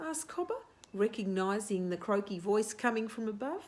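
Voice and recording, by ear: The clip features reading aloud in a natural voice. Intonation moves in a lively way.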